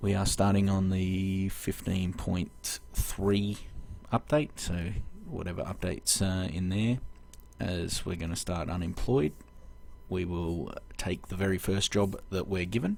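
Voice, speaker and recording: Speaking with an Australian accent, a man uses a very deep, low pitch, ordinary pitch variation and a fairly slow pace. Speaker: video game let's-play host. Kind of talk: gameplay commentary. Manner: halting, many fillers.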